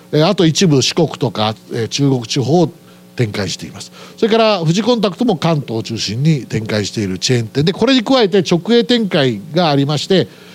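Against noticeable background noise, a man with a fairly high pitch talks at a fairly quick pace, his pitch swinging very widely. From Aichi, Japan. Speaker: company president. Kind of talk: investor presentation. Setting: stage with audience. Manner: formal.

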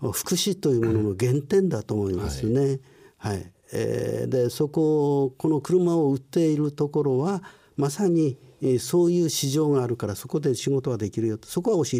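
With a dark, mellow tone and lively intonation, a man speaks at a fairly high pitch and moderate pace on a very clean recording with a silent background. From Japan, Ibaraki (Chikusei), born in Tokyo. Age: 60s. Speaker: company president, care business founder. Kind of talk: interview, life story. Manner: lecture-like.

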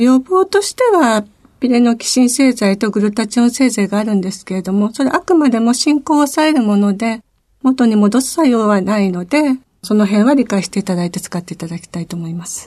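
At a fairly quick pace, a woman speaks in a somewhat breathy voice with a dark, mellow tone, lively intonation and big swings in loudness. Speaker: pharmacist. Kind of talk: radio interview. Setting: studio.

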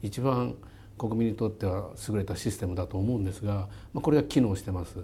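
At a moderate pace, a man speaks with a fairly low pitch and a somewhat breathy sound. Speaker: company chairman and CEO. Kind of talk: interview.

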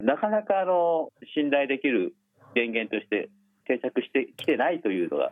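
Very wide pitch swings in a fairly high male voice. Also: moderate pace. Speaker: nuclear policy professor. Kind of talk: interview.

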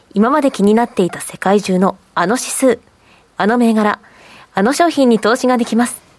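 Recorded dry and close with no echo, a woman speaks in a plain, everyday voice that is fairly high in pitch, with ordinary pitch variation. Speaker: radio show assistant. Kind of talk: casual chat.

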